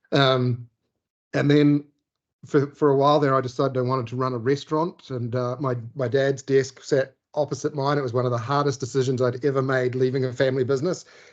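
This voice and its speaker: Speaking fairly quickly in a New Zealand accent, a man keeps a medium pitch and a monotone, flat intonation. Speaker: sales director. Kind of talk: interview.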